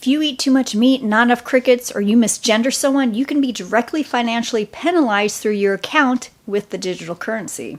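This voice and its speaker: The pace is fairly quick, with hardly any pauses. Pitch varies in an ordinary way. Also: woman, high pitch for a woman. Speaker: political commentary vlogger. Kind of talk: commentary monologue.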